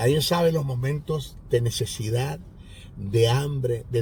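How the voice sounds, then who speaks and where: Audible room echo colors this recording of a man. He speaks at a medium pitch with fairly even intonation. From Venezuela, Maracaibo (Zulia). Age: 60s. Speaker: pastor and Bible teacher. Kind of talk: sermon; testimony.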